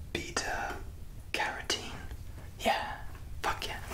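A man is whispering. His pace is very slow. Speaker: ASMR creator. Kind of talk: casual vlog chat. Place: bathroom. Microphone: phone near.

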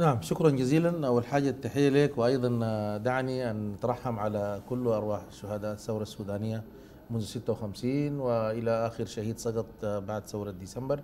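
With a Sudanese accent, a man speaks in a dark, mellow tone at a moderate pace with ordinary pitch variation over light background noise. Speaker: politician. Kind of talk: political talk show debate. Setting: studio. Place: studio. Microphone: lapel.

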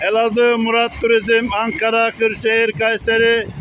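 The man's voice sits high, with monotone, flat intonation. Light background noise runs underneath. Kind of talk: commentary. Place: station. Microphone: phone near.

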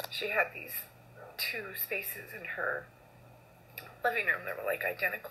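A woman is speaking. Her pace is moderate. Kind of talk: casual selfie video tribute. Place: home room. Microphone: phone near.

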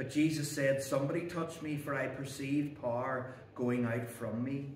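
Audible room echo and light background noise accompany speech delivered at a moderate pace. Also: man. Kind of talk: sermon. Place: church. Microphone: camera far.

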